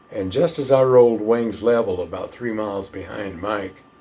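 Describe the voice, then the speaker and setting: This man speaks with a Southern US accent at a moderate pace. His pitch is fairly low, with ordinary pitch variation. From northern Florida. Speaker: retired fighter pilot. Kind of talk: interview answer.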